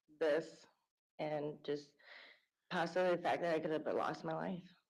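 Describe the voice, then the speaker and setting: A woman with an American accent speaks in a fairly low, flat monotone, leaving long, frequent pauses amid audible room echo. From Wisconsin, Vernon County. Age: 30s. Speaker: trial witness. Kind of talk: witness testimony. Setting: courtroom. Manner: hesitant.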